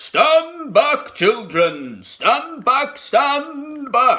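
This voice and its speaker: Shouting in a put-on character voice, a man speaks at a very slow pace with an extremely high pitch. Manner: shouting a command.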